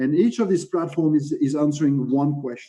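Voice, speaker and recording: A man with a French accent talks at a moderate pace, his pitch fairly high and his tone dark and mellow. His pitch varies in an ordinary way. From France. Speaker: legal tech panelist. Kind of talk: panel presentation. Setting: video call. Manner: halting, many fillers.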